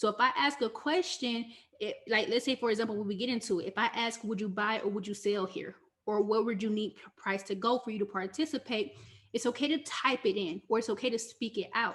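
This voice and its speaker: A woman with a fairly high pitch talks at a fairly quick pace with ordinary pitch variation. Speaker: forex trading coach. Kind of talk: live online teaching session. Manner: fast.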